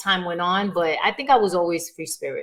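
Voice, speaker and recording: A woman speaks in a New York accent. Her intonation is lively. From New York, South Bronx. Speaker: performer and writer. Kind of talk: podcast interview.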